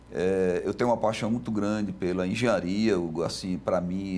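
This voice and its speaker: A man speaks in a dark, mellow tone with a fairly low pitch. His pace is moderate and his pitch varies in an ordinary way. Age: 60s. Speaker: construction company president. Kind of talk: TV interview. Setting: TV studio.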